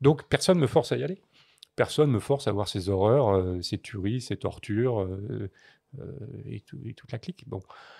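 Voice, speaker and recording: A man's somewhat breathy voice with a dark, mellow tone, lively intonation, a moderate pace, long and frequent pauses and big swings in loudness, in a dry, close sound with no echo. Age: 60s. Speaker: photojournalist. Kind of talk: podcast interview. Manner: halting, many hesitations.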